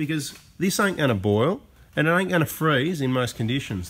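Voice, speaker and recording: With an Australian accent, a man talks in very wide pitch swings. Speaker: diesel mechanic / car channel host. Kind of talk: unscripted tutorial. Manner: casual, off the cuff. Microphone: camera far.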